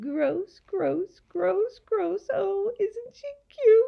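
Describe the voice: In a put-on character voice, a woman speaks at an extremely high pitch and a very slow pace with vocal fry. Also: lively intonation.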